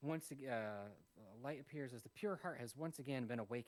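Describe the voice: Just plain reading aloud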